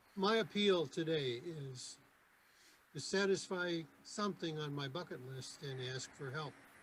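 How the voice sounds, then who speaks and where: A man with an American accent talks fairly slowly while noticeable background noise carries on behind him. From Michigan. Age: 70s. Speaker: Rotary club member. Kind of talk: club meeting presentation. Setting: video call.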